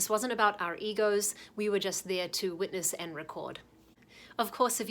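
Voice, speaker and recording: On a very clean recording with a silent background, a woman with a New Zealand accent speaks at a moderate pace, her pitch medium and her intonation fairly even. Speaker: documentary filmmaker. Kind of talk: talking-head explainer.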